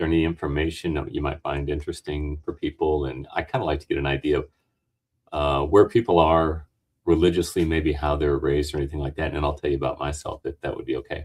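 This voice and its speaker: Vocal fry at a very fast pace. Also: man, very deep, low pitch for a man, fairly even intonation. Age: 50s. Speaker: dental technician and debate streamer. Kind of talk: casual discussion. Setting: video call from his dental lab. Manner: halting, many fillers.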